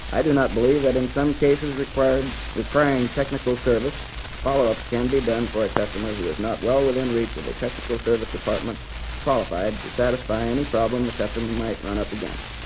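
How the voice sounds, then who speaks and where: A man speaks at a very fast pace. Noticeable background noise is present. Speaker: businessman debater. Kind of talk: radio debate. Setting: 1940s radio broadcast, vinyl recording.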